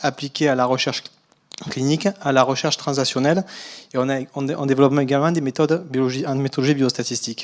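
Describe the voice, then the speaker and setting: Talking very fast, this man uses a fairly high pitch. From southern France. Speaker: biostatistician. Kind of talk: conference talk. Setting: lecture hall.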